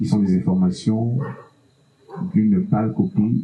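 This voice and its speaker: A man's medium-pitched voice in a Cameroonian accent, fairly slow, with very wide pitch swings and noticeable background noise. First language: Bassa (speaking French). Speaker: musician. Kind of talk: panel discussion.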